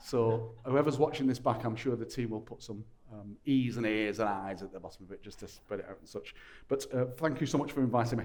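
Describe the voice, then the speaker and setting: Over music in the background, a man with a strong Lancashire accent speaks at a fairly quick pace and medium pitch, with ordinary pitch variation and big swings in loudness. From Lancashire, northern England. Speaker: panel moderator. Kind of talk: panel discussion hosting. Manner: informal, jokey.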